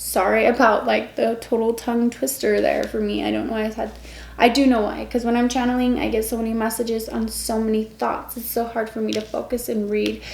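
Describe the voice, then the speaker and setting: A woman talks at a fairly quick pace. Audible room echo and noticeable background noise fill the recording. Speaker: tarot reader. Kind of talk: tarot reading. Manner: stumbles over words when reading.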